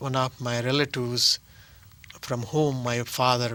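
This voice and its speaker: A man's bright, sharp voice at medium pitch, with an Indian accent. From South India. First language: Telugu. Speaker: actor and playwright. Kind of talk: interview. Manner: halting.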